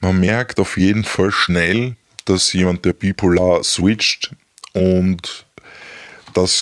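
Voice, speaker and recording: A man speaks at a very slow pace with a very deep, low pitch and fairly even intonation. The sound is dry and close, with no echo. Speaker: ex-partner of someone with bipolar disorder. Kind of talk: interview. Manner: halting.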